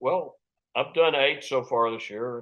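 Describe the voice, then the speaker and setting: A man's voice with an American accent. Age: 80s+. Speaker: session musician. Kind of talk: interview.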